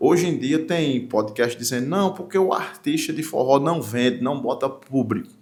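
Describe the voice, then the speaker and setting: A man at a moderate pace, with audible room echo. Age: 40s. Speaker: forró singer and songwriter. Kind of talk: talk show interview. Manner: animated.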